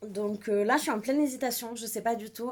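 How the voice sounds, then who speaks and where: With ordinary pitch variation, a woman talks in a fairly high pitch. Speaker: book vlogger. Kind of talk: casual vlog. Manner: hesitant, many fillers.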